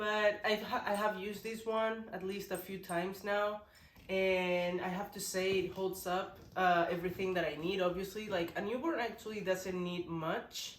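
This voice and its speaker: Against noticeable background noise and audible room echo, a woman talks at medium pitch with monotone, flat intonation. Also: moderate pace. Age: 20s. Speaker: parenting vlogger. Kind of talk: casual vlog talk. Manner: casual, halting with restarts.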